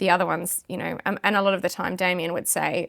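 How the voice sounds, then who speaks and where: A woman speaks at a fairly quick pace and medium pitch with fairly even intonation and vocal fry, on a very clean recording with a silent background. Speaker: auctioneer. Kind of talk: interview answer. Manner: casual, conversational.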